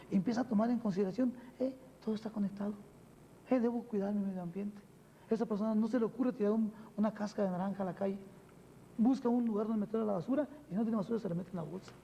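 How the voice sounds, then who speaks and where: With a Mexican accent, a man talks at a very fast pace but with long, frequent pauses, his high voice dark and mellow in tone and his intonation fairly even. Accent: unchanged Mexican Spanish. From Mexico. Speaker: spiritual teacher. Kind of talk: TV interview. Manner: many fillers, frequent ¿verdad?.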